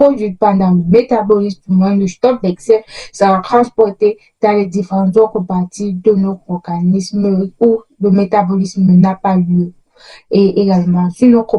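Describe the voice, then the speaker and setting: A woman talks at a medium pitch and a fairly slow pace, somewhat breathy, with a dark, mellow tone. Her intonation stays fairly even. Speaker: educational youtuber. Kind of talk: tutorial. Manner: halting.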